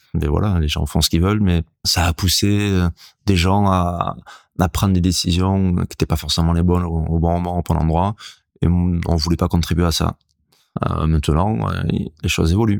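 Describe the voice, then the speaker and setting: A man with a very deep, low voice speaks at a moderate pace and very even loudness, his intonation fairly even, with long, frequent pauses in a dry, close sound with no echo. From French Basque Country (Hendaye). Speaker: surfer and author. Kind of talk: interview. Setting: at guest's home.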